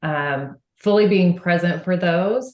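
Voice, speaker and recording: Speaking with an American accent, a woman has a medium pitch. Her pitch varies in an ordinary way. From Texas, Houston. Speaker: franchise marketing executive. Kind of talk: podcast interview.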